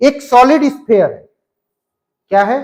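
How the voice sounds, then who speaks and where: Very slow delivery from a man, pitch varying in an ordinary way. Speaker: physics teacher. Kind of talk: lecture.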